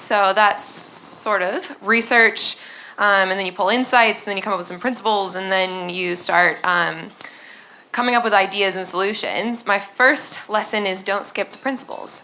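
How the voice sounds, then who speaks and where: In a room with audible echo, a woman with an American accent speaks in a bright, sharp tone with fairly even intonation at a moderate pace. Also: medium pitch for a woman. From United States. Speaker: user experience designer. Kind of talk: conference talk.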